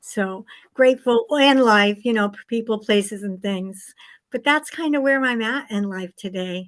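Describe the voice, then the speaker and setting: At a moderate pace, a woman talks in an unremarkable speaking voice, fairly high in pitch, with ordinary pitch variation. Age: 60s. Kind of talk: personal testimony.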